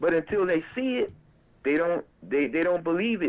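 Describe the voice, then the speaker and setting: A man talks with a plain, everyday voice. His pitch is fairly high, with ordinary variation. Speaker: caller. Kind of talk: casual chat. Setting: phone call. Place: studio.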